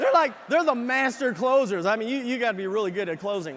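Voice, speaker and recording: A man's extremely high pitch and lively intonation at a fairly quick pace, over noticeable background noise. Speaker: business leadership speaker / convention presenter. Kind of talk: motivational convention stage speech to a large live audience. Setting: large arena with a live audience.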